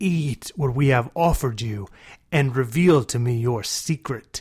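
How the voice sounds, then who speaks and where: A man's put-on character voice, medium in pitch, hissing, at a moderate pace with ordinary pitch variation. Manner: hissing, sharp, menacing.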